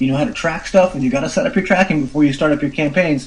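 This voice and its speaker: A man with a fairly high pitch at a very fast pace. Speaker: internet marketer reviewing an online course. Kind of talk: product review. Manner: animated.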